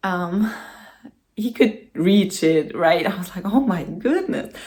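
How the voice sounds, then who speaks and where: Spoken at a very slow pace with ordinary pitch variation, the voice carries audible room echo. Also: woman, medium pitch for a woman. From Germany. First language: German. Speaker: vlogger. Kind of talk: casual vlog talk to camera. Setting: home, in front of the camera. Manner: hesitant, with many fillers.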